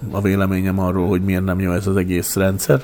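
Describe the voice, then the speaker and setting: The man talks fairly quickly. His pitch is very deep and low. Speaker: educator and former mayor. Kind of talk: interview.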